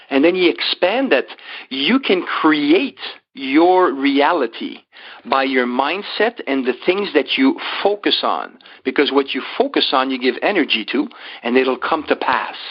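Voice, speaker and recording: The speaker talks at a fairly slow pace with a French-Canadian accent. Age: 60s. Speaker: life coach and motivational speaker. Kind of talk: interview.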